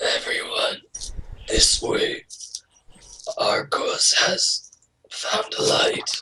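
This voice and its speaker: In a raspy, extremely high put-on character voice, the speaker goes at a very slow pace with long, frequent pauses. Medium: actual play.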